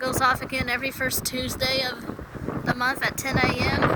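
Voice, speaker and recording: A woman at high pitch and moderate pace, with noticeable background noise. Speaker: siren enthusiast vlogger. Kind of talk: casual vlog narration. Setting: outdoors. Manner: halting.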